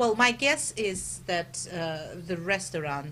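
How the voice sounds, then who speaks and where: With audible room echo, a woman speaks fairly slowly using lively intonation. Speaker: investigative journalist. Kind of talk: interview. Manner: loud; halting, many fillers.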